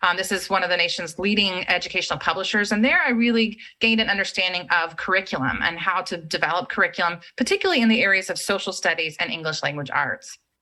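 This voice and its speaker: The voice has an American accent and a bright, sharp tone. It runs at a very fast pace with hardly any pauses and ordinary pitch variation. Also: woman, medium pitch for a woman. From Texas, Central Texas. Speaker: education executive. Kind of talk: lecture.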